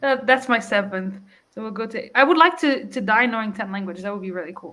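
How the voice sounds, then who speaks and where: A woman talks very fast in a Portuguese accent, her fairly high pitch rising and falling in lively intonation. Her tone is bright and sharp, and her loudness swings widely. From Portugal. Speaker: book youtuber. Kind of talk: casual chat.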